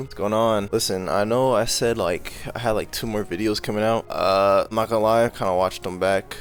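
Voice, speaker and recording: Against noticeable background noise, a man with a fairly low pitch talks at a fairly quick pace, with hardly any pauses and fairly even intonation. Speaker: YouTuber, commentary reaction. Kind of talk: casual reaction commentary. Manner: casual, halting.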